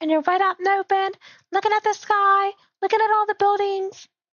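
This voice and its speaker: At an extremely high pitch, a woman talks at a fairly quick pace with monotone, flat intonation. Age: 20s. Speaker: gaming streamer. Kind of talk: live gameplay commentary. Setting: live stream from home PC. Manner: casual, rambling.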